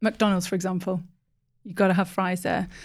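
In a very clean recording with a silent background, a woman with a Teesside accent speaks in a monotone, flat intonation. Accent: Teesside northeast English. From northeast England. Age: 20s. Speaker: market research professional. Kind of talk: casual podcast interview.

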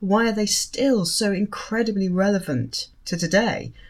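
This voice belongs to a woman and is somewhat breathy. She talks at a fairly slow pace. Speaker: podcast host and lawyer. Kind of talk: casual interview chat.

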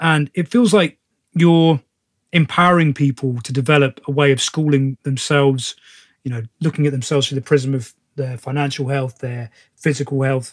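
In a British accent, a man with a fairly high voice speaks at a moderate pace and with fairly even intonation. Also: dry, close sound with no echo. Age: 30s. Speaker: podcast host, actor and personal trainer. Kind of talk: casual interview chat.

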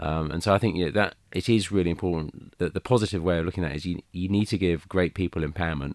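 The speech rushes along at a very fast pace with ordinary pitch variation. The recording is very clean, with a silent background. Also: man. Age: 40s. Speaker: business chief executive. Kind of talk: panel interview.

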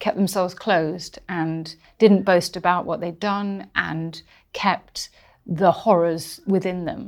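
A woman with a southern English accent speaks at a medium pitch and a fairly slow pace. The recording is very clean, with a silent background. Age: 40s. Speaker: historian and podcast host. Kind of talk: casual chat. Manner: animated.

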